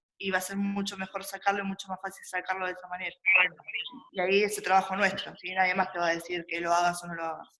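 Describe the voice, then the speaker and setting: Talking at a very fast pace, a woman keeps a monotone, flat intonation while her loudness swings widely. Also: medium pitch for a woman. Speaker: university lecturer. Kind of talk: online class review session. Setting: video call.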